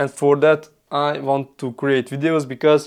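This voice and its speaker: The speaker is a man with a fairly high pitch. He talks at a fairly slow pace. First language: not English (English is third language). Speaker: sales coach and content creator. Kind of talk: casual tutorial to camera. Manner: halting, with fillers.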